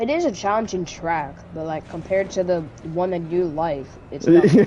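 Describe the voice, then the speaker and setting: A woman with a normal speaking voice talks at a moderate pace in a fairly low pitch, using ordinary pitch variation. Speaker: fellow sim racer. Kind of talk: casual chat.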